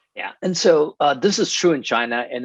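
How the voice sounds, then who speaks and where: With an American accent and lively intonation, a man talks in a dry, close sound with no echo. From Taiwan, then US. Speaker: finance professor and investment executive. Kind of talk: webinar Q&A, expert explanation. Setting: video call webinar.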